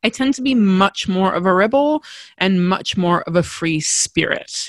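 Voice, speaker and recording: A woman with an Australian accent speaks at a medium pitch with lively intonation. The background is quiet. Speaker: podcast host. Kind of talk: solo podcast monologue, storytelling. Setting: recorded indoors, windy day. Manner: fast talker when passionate, animated.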